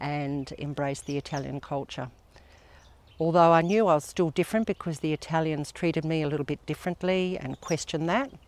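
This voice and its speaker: Fairly quick speech with an Australian accent, in a very clean recording with a silent background. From Western Australia (Perth). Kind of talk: personal testimony. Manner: earnest, with frequent hesitations.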